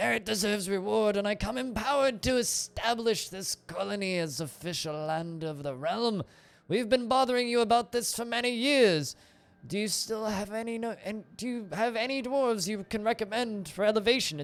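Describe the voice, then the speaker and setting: A gravelly, put-on character voice at a moderate pace. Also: man, high pitch for a man. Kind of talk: formal, official.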